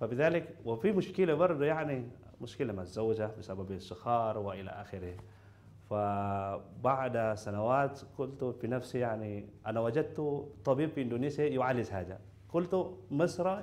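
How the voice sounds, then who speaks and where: A man with an Indonesian accent talks at a fairly slow pace, his intonation lively. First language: Indonesian (speaking Arabic). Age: young. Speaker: patient, university student. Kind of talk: testimony; interview answer. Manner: halting. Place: studio.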